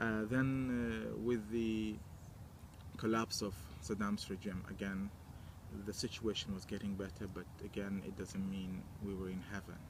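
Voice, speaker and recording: A man with a Kurdish accent speaks at a moderate pace in a fairly low pitch. His intonation is monotone and flat, with long, frequent pauses. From Iraqi Kurdistan. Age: 20s. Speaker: interviewee telling life story. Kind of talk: personal testimony. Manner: halting, with many fillers.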